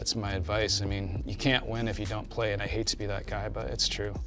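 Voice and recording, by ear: Music plays behind a man who speaks at a fairly quick pace.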